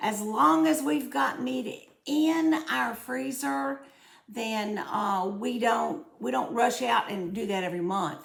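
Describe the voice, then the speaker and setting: Speaking at a very slow pace in a Southern US accent, a woman with a medium pitch makes very wide pitch swings, with noticeable background noise and audible room echo. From US South. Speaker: cooking and budgeting vlogger. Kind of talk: casual vlog, answering viewer comments. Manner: chatty, with frequent fillers and repetitions.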